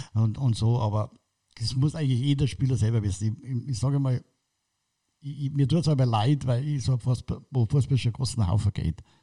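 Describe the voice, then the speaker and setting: Somewhat breathy with a dark, mellow tone, a man speaks at medium pitch. His pace is moderate and his pitch variation ordinary. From Munich, Bavaria. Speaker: football club kit manager. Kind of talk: casual interview. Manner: halting.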